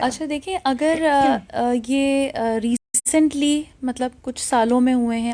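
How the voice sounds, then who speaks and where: This high-pitched female voice has a dark, mellow tone and fairly even intonation, recorded dry and close with no echo. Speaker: doctor, invited guest on health segment. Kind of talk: medical advice in radio interview.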